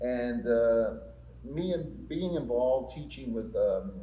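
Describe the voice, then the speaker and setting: There is audible room echo around this man's voice. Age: 60s. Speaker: actor and playwright. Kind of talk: interview. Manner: halting, with many repeated words.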